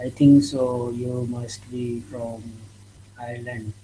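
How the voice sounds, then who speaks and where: A man with an Indian accent talks at a very slow pace in a medium pitch and a flat, monotone intonation. His loudness swings widely, and noticeable background noise runs underneath. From northwest India. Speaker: English learner. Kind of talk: casual conversation practice. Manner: halting.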